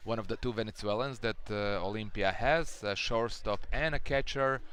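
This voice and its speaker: A man speaks with a Croatian accent. His pitch varies in an ordinary way. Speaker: baseball commentator. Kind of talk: live commentary. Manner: halting.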